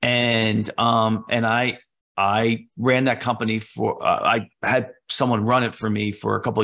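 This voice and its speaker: A medium-pitched man's bright, sharp voice, flat and monotone, fairly slow, with vocal fry. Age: 50s. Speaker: entrepreneur. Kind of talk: interview. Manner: halting.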